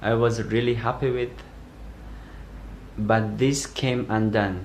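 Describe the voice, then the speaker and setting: Noticeable background noise and audible room echo surround the recording. A man speaks at a very slow pace. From Afghanistan. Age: 20s. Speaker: asylum seeker. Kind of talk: testimony. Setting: self-recorded video. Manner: halting.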